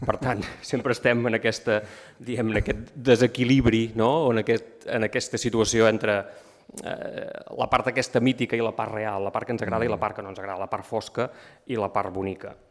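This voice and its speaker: The voice stays flat and monotone. It moves at a fairly quick pace over a quiet background. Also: man. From Empordà, Catalonia (Begur); Catalonia. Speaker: writer presenting a book. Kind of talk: book presentation talk. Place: hall.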